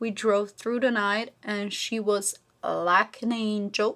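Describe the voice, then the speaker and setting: A woman speaks with a Slovenian accent. Her pace is very slow. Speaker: beauty vlogger. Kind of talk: casual chat while doing makeup.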